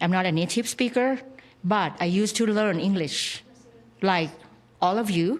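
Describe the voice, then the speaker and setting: A woman with a Thai accent at a moderate pace, with long, frequent pauses and very even loudness. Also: medium pitch for a woman, ordinary pitch variation. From Thailand. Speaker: English teacher. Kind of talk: interview. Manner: energetic; halting.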